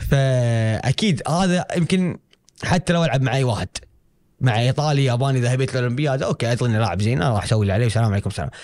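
Against a quiet background, a man with a Kuwaiti accent talks very fast with lively intonation. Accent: Kuwaiti Gulf Arabic. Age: 20s. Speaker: karate athlete; guest. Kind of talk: interview. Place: studio. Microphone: studio mic.

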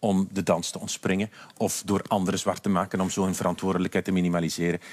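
Speaking at a very fast pace, a man with a Flemish accent uses a very deep, low pitch and monotone, flat intonation in a very clean recording with a silent background. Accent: Flemish Dutch. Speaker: politician. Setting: studio.

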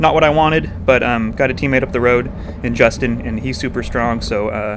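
A man speaks in an excited tone with lively intonation. Noticeable background noise runs underneath. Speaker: amateur racing cyclist and race commentator. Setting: recorded after the race as voiceover on video. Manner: tactical and opinionated, excited about the chase.

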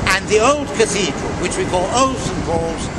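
A man's fairly slow speech comes through loud background noise. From Wales. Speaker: tour guide. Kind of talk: guided tour commentary. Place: street.

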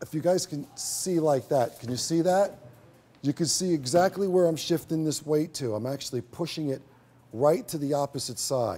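This man has a dark, mellow tone and ordinary pitch variation. He keeps a moderate pace. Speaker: hairstylist educator. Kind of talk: tutorial. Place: stage.

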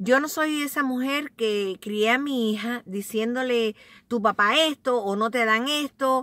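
Against a quiet background, a woman speaks at a fairly slow pace in a high voice with ordinary pitch variation, her tone bright and sharp yet warm, the sound dry with no echo. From Cuba. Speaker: vlogger. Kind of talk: casual, confiding vlog chat, story time. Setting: at home or in a car, bundled up, recording on a cold day in Staten Island. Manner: warm, chatty and affectionate, talks to viewers like close family; heartfelt, sincere and reflective when telling her life story. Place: car. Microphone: phone near.

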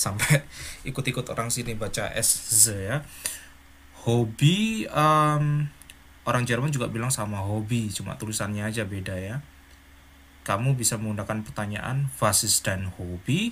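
A man talks at a fairly slow pace, his pitch medium with ordinary variation. Long pauses come often. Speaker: German language teacher. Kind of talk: tutorial. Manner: animated.

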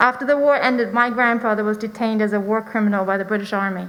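With a German accent, a woman speaks very fast at a fairly high pitch, her intonation fairly even. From Germany. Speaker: parent speaking at public comment. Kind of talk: public comment speech. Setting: school board meeting. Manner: formal.

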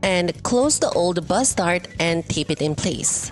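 Music plays in the background as a woman with a fairly low pitch speaks at a very slow pace. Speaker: patternmaker. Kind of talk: sewing tutorial voiceover.

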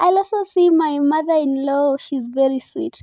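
A woman's high-pitched voice with a dark, mellow tone, dry sound with no echo and a quiet background. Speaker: vlogger. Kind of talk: casual vlog chat. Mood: excited, cheerful. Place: car.

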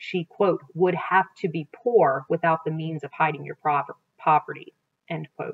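Against a quiet background, a woman with a plain, everyday voice speaks at a moderate pace and a fairly low pitch. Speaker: teacher reading aloud. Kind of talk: read-aloud narration. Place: home room. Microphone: webcam.

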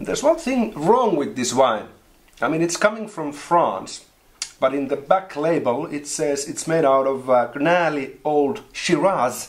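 A man talks fairly slowly, his intonation lively. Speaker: wine show host. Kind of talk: casual wine tasting chat. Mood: jokey, laughing. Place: home room.

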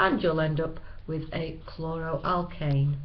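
A woman with a Manchester accent and a fairly low pitch. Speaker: chemistry teacher. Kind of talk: educational lecture narration. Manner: plain, no-frills.

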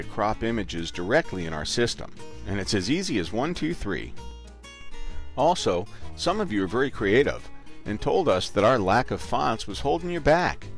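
Music plays in the background as a man talks at a moderate pace. His pitch swings very widely. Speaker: voice actor. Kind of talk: corporate promo narration. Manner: casual, friendly.

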